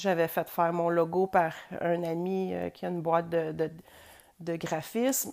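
In a Quebec accent, the speaker goes at a fairly slow pace with fairly even intonation and long, frequent pauses. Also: woman, fairly low pitch for a woman. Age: 40s. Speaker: podcast host. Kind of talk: personal monologue. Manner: hesitant.

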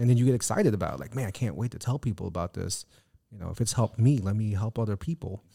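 A man's somewhat breathy voice, dark and mellow in tone, at a very fast pace. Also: dry, close sound with no echo, very clean recording, silent background. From Filipino background. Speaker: podcast co-host. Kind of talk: casual chat.

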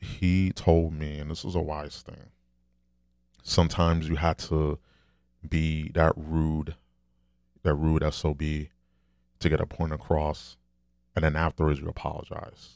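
A soft-spoken man talks with vocal fry at an extremely low pitch, with little pitch movement. His tone is slightly mellow, and he leaves long, frequent pauses. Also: fairly slow pace, very clean recording, silent background.

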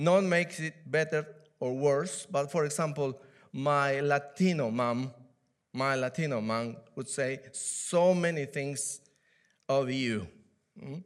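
In a Peruvian accent, a man speaks at a very slow pace with long, frequent pauses. His pitch is fairly high, with ordinary pitch variation. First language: Spanish. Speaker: church elder and preacher. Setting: church. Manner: halting, with fillers.

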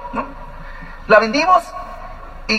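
A man's raised, projected voice over noticeable background noise. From Mexico, Ensenada, Baja California. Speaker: business couple giving testimony. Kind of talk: testimony.

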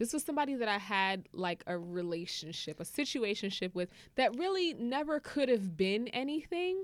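On a very clean recording with a silent background, a woman with a fairly high pitch sounds animated, her pitch swinging very widely at a moderate pace. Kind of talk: casual chat.

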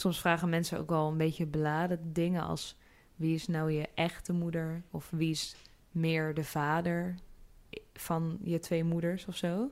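Recorded very cleanly against a silent background, a woman speaks slowly in a fairly low, flat monotone. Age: 20s. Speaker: interviewee. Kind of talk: interview.

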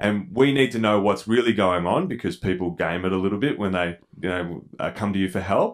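Speaking at a fairly quick pace with hardly any pauses, a man with a fairly low pitch uses lively intonation. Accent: Australian. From Melbourne, Australia. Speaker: entrepreneur, charity founder. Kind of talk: casual interview chat.

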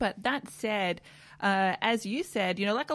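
A woman with an Australian accent at medium pitch, moderate pace and ordinary pitch variation, in a very clean recording with a silent background. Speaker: politician. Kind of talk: interview. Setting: studio.

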